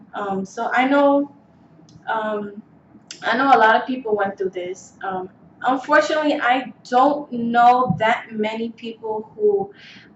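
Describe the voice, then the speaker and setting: Noticeable background noise sits behind a woman speaking fairly slowly at a fairly high pitch with ordinary pitch variation. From New York City, the Bronx. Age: 20s. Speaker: beauty vlogger. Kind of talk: casual vlog monologue. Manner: hesitant, many fillers.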